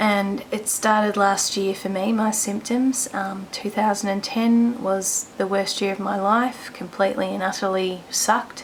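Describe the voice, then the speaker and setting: A quiet woman speaks at a fairly slow pace in a medium pitch with monotone, flat intonation, with noticeable background noise behind her. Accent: Australian. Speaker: vlogger sharing illness story. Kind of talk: personal testimony vlog. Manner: quiet, hushed; hesitant, many ums.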